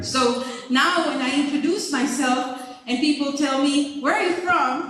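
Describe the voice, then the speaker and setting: Amid noticeable background noise and audible room echo, a woman speaks at a high pitch and moderate pace with lively intonation. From Honduras. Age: 50s. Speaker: teacher trainer. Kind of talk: conference talk.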